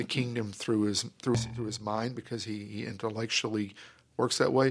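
In a Texan accent, a man talks at a moderate pace and medium pitch with monotone, flat intonation, on a very clean recording with a silent background. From North Texas (Grand Prairie). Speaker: pastor. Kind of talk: interview.

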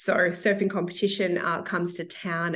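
Her pitch sits fairly low. The woman keeps a moderate pace. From Melbourne, Australia. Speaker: author. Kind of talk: casual interview. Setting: video call.

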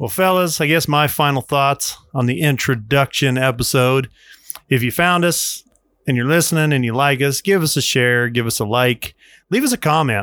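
In an ordinary speaking voice, a man with an American accent speaks at a moderate pace, fairly high pitch and ordinary pitch variation. The recording is very clean, with a silent background and a dry, close sound with no echo. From US Colorado. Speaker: podcast host. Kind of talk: casual chat. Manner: casual, chatty.

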